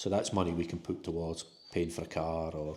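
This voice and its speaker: Speaking at a fairly quick pace, a man with a Scottish accent has a very deep, low pitch, a dark, mellow tone, and monotone, flat intonation. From Scotland. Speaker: new expat homebuyer. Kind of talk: casual interview.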